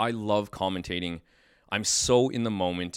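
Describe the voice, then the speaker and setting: An unremarkable speaking voice at a moderate pace with fairly even intonation, in a very clean recording with a silent background. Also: man. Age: 40s. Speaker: podcast host and fight commentator. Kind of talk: casual chat. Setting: studio.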